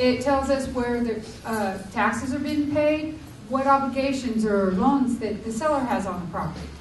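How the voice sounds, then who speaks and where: Through audible room echo and noticeable background noise, a woman speaks in a high voice with ordinary pitch variation. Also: moderate pace. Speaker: title insurance professional. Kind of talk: workshop presentation. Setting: public library workshop with audience.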